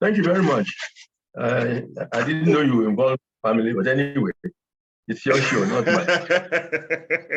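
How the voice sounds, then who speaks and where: Lively intonation and a somewhat breathy voice at a moderate pace, broken by long, frequent pauses. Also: man, fairly high pitch for a man. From Nigeria, Lagos. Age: 80s+. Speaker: retired engineer. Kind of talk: interview. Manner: halting.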